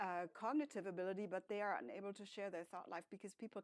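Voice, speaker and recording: A woman at a fairly quick pace, in a dry, close sound with no echo. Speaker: professor, speech and hearing researcher. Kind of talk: academic panel talk with slides.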